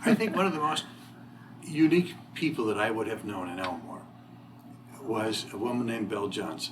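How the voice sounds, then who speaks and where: A man with an Ohio accent talks at a fairly quick pace and medium pitch with lively intonation, but leaves long, frequent pauses. Audible room echo and noticeable background noise fill the recording. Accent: Midwestern US (Ohio). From northwest Ohio, Toledo area. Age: 60s. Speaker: local resident interviewee. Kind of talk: oral history interview.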